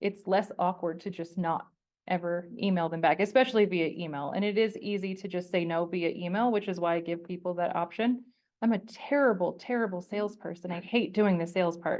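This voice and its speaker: With an American accent, this woman uses a plain, everyday voice at medium pitch, with ordinary pitch variation. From Colorado. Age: 40s. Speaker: portrait photographer. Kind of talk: presentation with audience Q&A. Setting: stage with audience, also streamed online. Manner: casual, conversational.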